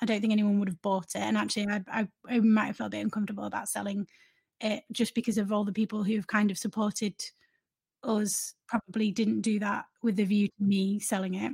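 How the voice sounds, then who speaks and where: A woman with a medium pitch talks at a very fast pace in a flat, monotone, somewhat breathy voice, with a dry, close sound and no echo. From northern England, Leeds. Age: 30s. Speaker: journalist and news website founder. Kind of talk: interview. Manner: hesitant, many fillers and repetitions.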